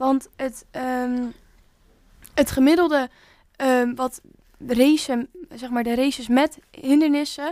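Very slow delivery with long, frequent pauses and fairly even intonation. The tone is dark and mellow, and the sound is dry and close with no echo. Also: woman, high pitch for a woman. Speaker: podcast co-host. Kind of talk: casual chat.

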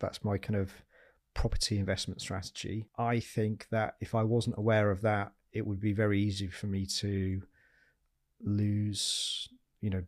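A man's fairly low, monotone voice with flat intonation and a Yorkshire accent, at a moderate pace. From Yorkshire, northern England. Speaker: property investor and former army officer. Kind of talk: interview conversation.

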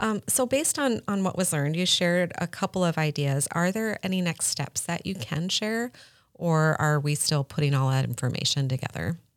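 A woman with a normal speaking voice talks at a moderate pace and fairly low pitch, using lively intonation. The recording is very clean with a silent background. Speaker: podcast host. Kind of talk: casual interview.

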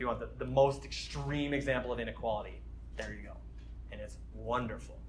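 A man talks at a fairly quick pace with big swings in loudness, and room echo is audible. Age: 30s. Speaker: campus minister teaching a Bible study. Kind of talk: sermon. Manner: casual with frequent fillers.

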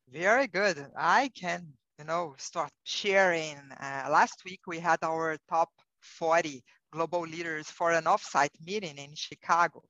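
Speaking with a Brazilian accent, a woman with fairly low pitch and a bright, sharp tone talks at a fairly slow pace, with ordinary pitch variation and big swings in loudness, in a dry, close sound with no echo. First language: Portuguese. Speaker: corporate HR executive. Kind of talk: interview conversation.

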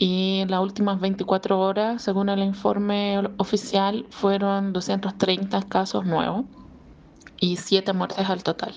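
A woman talks in a strong Chilean accent at a medium pitch. Her delivery is monotone and flat, at a very slow pace. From Brazil. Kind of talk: voice message.

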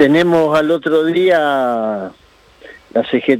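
A man talks with ordinary pitch variation. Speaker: union leader. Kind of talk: interview.

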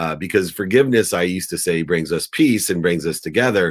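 On a very clean recording with a silent background, a man speaks at a fairly quick pace in a very deep, low pitch with ordinary pitch variation. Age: 50s. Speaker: entrepreneur and motivational speaker. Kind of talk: interview.

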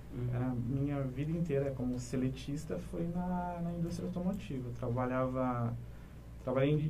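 A man's voice with audible room echo. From Paraná, Brazil (São José dos Pinhais). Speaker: clinic manager, business administrator. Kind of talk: interview. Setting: studio.

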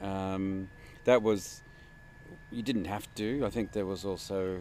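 A man with a very deep, low pitch and a dark, mellow tone speaks with ordinary pitch variation. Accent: Australian. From Sydney, Australia. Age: 50s. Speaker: traveler. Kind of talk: casual interview. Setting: traveling in rural Egyptian oasis.

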